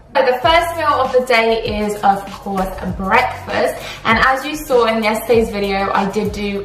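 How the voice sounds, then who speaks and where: With faint music in the background and audible room echo, a woman speaks at a moderate pace. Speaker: fitness vlogger. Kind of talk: casual vlog chat. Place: kitchen. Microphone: phone near.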